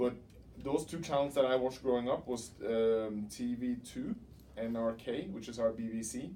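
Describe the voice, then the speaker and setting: With a Norwegian accent, a man speaks at a moderate pace in a dark, mellow tone. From Norway, Oslo. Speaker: doctoral student. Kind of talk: interview.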